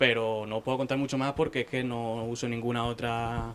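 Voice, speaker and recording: The intonation is monotone and flat. It comes from a man whose pitch is medium. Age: young. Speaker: newspaper correspondent. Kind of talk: panel discussion.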